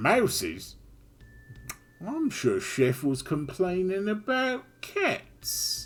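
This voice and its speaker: In a put-on character voice, a man speaks at a high pitch. His pace is very slow, with long, frequent pauses. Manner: thoughtful, skeptical.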